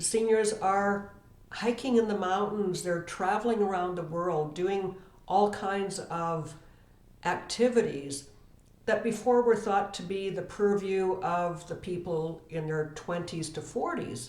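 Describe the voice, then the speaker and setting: In a room with audible echo, a woman speaks at a fairly slow pace with a medium pitch and ordinary pitch variation. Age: 60s. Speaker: estate planning professional. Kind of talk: educational talk to camera.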